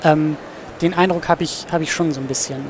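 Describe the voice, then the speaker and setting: A man's fairly quick, fairly even delivery amid noticeable background noise. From northern Germany, Husum (Schleswig-Holstein). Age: 20s. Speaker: student and film podcaster. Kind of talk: interview.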